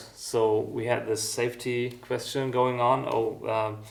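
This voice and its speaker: A man speaks fairly slowly with a German accent. His intonation is monotone and flat, with audible room echo. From East Germany. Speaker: music school founder and musician. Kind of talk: interview. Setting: music school. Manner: halting, many fillers.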